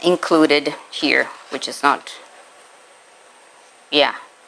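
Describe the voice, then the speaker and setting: The speaker is a woman. Noticeable background noise runs under her voice. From Brazil. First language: Portuguese. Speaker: spiritist lecturer, teacher. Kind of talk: lecture.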